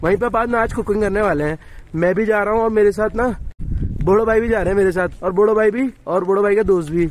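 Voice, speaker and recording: The sound is dry with no echo as a man with a high pitch talks at a fairly quick pace, his pitch varying in an ordinary way. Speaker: travel vlogger. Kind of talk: casual vlog chat. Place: street. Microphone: phone near.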